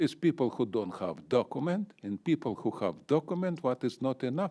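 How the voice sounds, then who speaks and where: On a very clean recording with a silent background and a dry, close sound with no echo, a man with a non-native accent speaks at a moderate pace and medium pitch, with very wide pitch swings. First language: not English. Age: 70s. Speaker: public commenter. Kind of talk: public comment. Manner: agitated.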